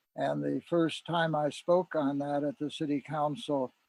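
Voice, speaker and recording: Fairly high male pitch, dark, mellow tone, and monotone, flat intonation from a man at a fairly slow pace, with a dry, close sound and no echo. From US Midwest, Ann Arbor Michigan. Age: 80s+. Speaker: peace activist and council member. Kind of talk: meeting introduction. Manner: halting.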